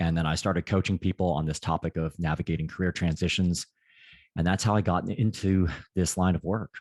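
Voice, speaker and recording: In an American accent, the speaker talks at a fairly quick pace with very even loudness and fairly even intonation over a quiet background. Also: man, very deep, low pitch for a man, dry, close sound with no echo. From United States. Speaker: career consultant. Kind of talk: interview.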